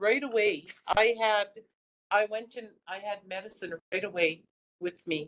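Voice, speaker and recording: A woman talks in a normal speaking voice at a fairly slow pace. Her pitch is medium, with ordinary pitch variation. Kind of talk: public talk about family's cancer experience.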